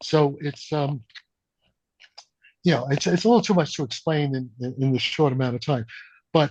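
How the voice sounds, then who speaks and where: A man talks in a fairly high pitch, his voice somewhat breathy. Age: 80s+. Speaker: theoretical physicist. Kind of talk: interview.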